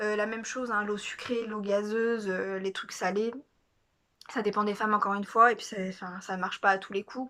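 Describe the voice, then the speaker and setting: Fairly quick pace and a bright, sharp tone. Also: woman. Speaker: vlogger. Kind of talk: casual vlog monologue. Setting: at home. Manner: fast; hesitant, many fillers.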